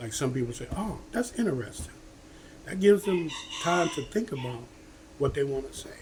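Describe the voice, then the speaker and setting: A man with an American accent and a fairly high voice makes very wide pitch swings and big swings in loudness, with long, frequent pauses. There is noticeable background noise. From United States. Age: 70s. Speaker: vlogger giving life advice. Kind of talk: casual motivational talk to camera. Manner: conversational, repetitive with frequent okay.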